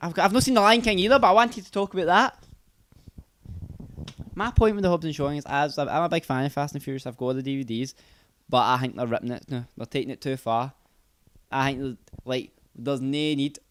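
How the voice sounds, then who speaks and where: Speaking very fast in a Scottish accent, a man with a fairly high pitch uses lively intonation broken by long, frequent pauses. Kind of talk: casual podcast conversation.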